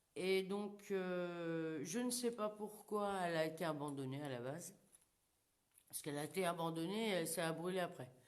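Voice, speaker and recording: Against audible room echo, a woman talks at a moderate pace with a fairly low pitch and ordinary pitch variation. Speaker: paranormal investigator. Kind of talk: live paranormal investigation. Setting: abandoned burned house, live stream. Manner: loud; casual. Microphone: too quiet when moving away.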